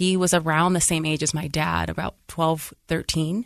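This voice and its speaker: A woman's normal speaking voice, fairly low in pitch, at a fairly slow pace with fairly even intonation, over a quiet background. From Lorain, Ohio (near Cleveland). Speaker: educator and school founder. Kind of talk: casual interview conversation.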